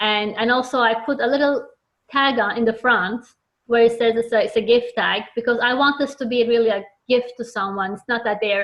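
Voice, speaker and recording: This woman's intonation is fairly level. Her voice is pitched fairly high. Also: fairly quick pace. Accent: non-native. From Turkey. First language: Turkish. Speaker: children's book author. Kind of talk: interview. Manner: halting, many fillers and repeats.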